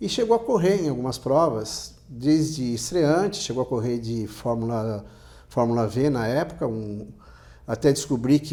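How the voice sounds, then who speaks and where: A man talks at medium pitch with a dark, mellow tone. His pace is moderate. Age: 60s. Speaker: motorsport journalist. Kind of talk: interview. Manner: halting, many restarts.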